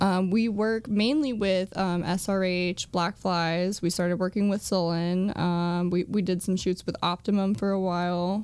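A woman's ordinary speaking voice at medium pitch, fairly slow and with hardly any pauses, fairly even intonation and very even loudness, on a very clean recording with a silent background. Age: 20s. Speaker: model. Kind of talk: casual chat.

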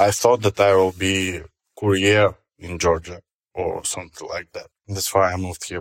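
On a very clean recording with a silent background and a dry, close sound with no echo, a man speaks in a fairly low pitch with a Russian accent. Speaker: stand-up comedian. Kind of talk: interview. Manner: halting.

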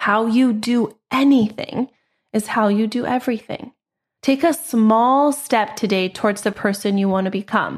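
A woman's fairly high, somewhat breathy voice comes through on a very clean recording with a silent background. Her loudness stays very even, her pitch varies in an ordinary way, and her pace is moderate. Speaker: podcast host and general contractor. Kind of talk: solo podcast monologue.

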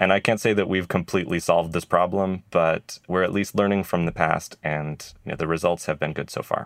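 A man with a very deep, low voice talks at a fairly quick pace, with fairly even intonation and hardly any pauses. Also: very clean recording, silent background. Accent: American. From Idaho, US. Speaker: retail innovation lab head. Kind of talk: interview.

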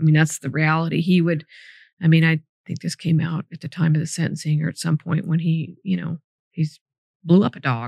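Somewhat breathy, a woman speaks with an American accent at a very deep, low pitch and fairly even intonation. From Sacramento, California. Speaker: former district attorney. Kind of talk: interview.

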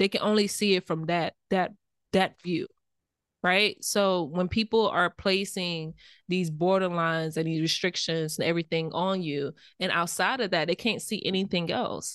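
In a plain, everyday voice with an American accent, a woman of medium pitch talks at a moderate pace with fairly even intonation, recorded dry and close with no echo against a quiet background. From US South, rural Belle Glade, Florida. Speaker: podcast co-host. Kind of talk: casual chat.

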